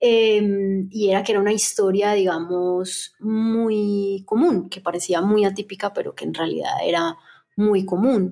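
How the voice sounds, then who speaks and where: With fairly even intonation and a medium pitch, a woman's voice has a dark, mellow tone. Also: fairly slow pace. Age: 30s. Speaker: film director. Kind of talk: casual chat.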